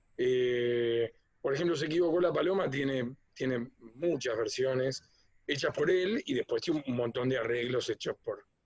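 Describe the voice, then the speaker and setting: This man speaks at a medium pitch and a moderate pace. His pitch variation is ordinary. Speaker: musician and arranger. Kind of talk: interview. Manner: hesitant, many fillers.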